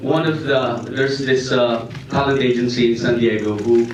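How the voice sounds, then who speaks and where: A man with a Filipino accent speaks at a moderate pace and a medium pitch, his intonation fairly even. Audible room echo and noticeable background noise fill the recording. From Philippines. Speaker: actor. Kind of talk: press conference answer. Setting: press conference. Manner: halting, many fillers.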